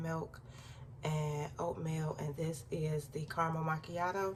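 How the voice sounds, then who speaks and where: A woman with a very deep, low pitch speaks in a flat monotone over noticeable background noise. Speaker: lifestyle vlogger. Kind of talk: casual vlog talk. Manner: talking low.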